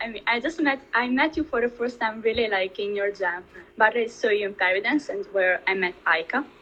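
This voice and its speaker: Speaking at a moderate pace with an Italian accent, a woman uses a fairly high pitch and ordinary pitch variation. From Italy. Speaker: dancer. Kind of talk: interview.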